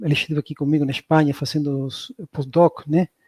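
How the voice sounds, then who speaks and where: A man talks at a moderate pace with a fairly high pitch. The sound is dry and close, with no echo. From southern Spain. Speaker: professor. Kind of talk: lecture.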